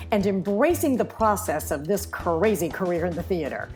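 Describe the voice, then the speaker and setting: A woman's fairly quick speech comes with music playing behind it. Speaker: podcast host. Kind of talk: podcast intro.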